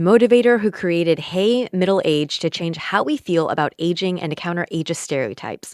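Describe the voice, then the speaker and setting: A woman with an American accent and a plain, everyday voice, medium in pitch, lively in intonation, at a moderate pace with hardly any pauses, in a dry, close sound with no echo. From United States. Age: 30s. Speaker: podcast host. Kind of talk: interview conversation; scripted introduction.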